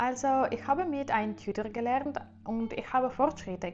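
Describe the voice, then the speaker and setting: A woman talks at a moderate pace, her pitch fairly high. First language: Russian and Ukrainian (speaking German). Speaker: language-learning youtuber. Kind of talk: casual vlog monologue. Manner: halting, many fillers.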